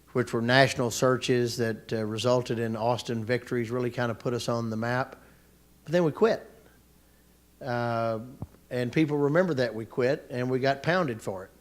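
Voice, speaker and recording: A man with an American accent speaks at a moderate pace in a plain, everyday voice, his medium pitch following fairly even intonation. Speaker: economic development leader. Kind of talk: panel discussion.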